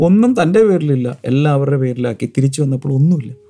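The speaker is a man with a medium pitch. Noticeable background noise is present. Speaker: preacher. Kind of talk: sermon.

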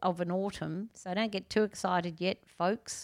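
A woman with an Australian accent has a bright, sharp tone, captured in a dry, close sound with no echo on a very clean recording with a silent background. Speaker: gardening expert. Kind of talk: casual chat. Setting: at home.

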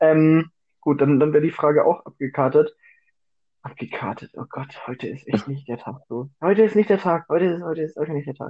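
Animated in tone, a man speaks at a fairly quick pace with ordinary pitch variation and big swings in loudness. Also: fairly high pitch for a man. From Bavaria, Germany. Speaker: podcast co-host. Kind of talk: casual chat. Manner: animated, laughing often.

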